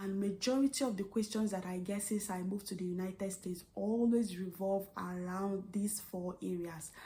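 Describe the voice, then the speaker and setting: A woman's somewhat breathy voice at a medium pitch, dark and mellow in tone, with an American accent and fairly even intonation. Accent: Nigerian accent, noticed by US patients. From Nigeria. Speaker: vlogger and registered nurse. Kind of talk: vlog monologue.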